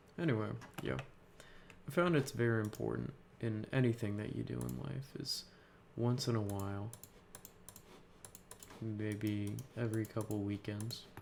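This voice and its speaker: Soft-spoken and lively in intonation, a man with a fairly low pitch talks at a moderate pace with long, frequent pauses. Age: 20s. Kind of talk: casual talk to camera.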